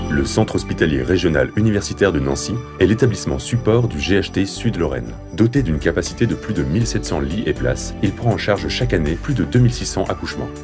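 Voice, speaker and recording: The speech moves at a very fast pace with very wide pitch swings. Music plays in the background. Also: man, very deep, low pitch for a man. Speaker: voice-over artist. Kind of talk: corporate narration.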